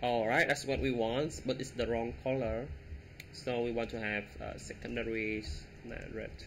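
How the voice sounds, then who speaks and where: At a fairly slow pace, a man with a bright, sharp tone speaks with ordinary pitch variation. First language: not English. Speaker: web development tutorial creator. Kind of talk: coding tutorial. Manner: halting, many fillers.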